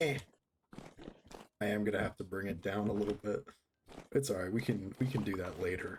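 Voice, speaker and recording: A somewhat breathy man talks at a fairly quick pace with a fairly low pitch. Long, frequent pauses break up his speech. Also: ordinary pitch variation. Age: young. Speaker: gaming streamer. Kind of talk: live game stream chat. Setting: live stream at home, late night. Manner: soft-spoken.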